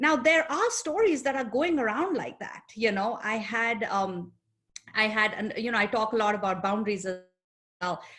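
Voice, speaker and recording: A woman's fairly high voice with an Indian accent and lively intonation. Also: moderate pace. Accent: Indian accent, still noticeable. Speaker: psychologist. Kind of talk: panel discussion.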